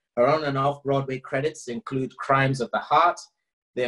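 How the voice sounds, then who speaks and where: In a quiet background, a man's words come at a fairly quick pace. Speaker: show host. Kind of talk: guest introduction. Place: home room. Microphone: video call.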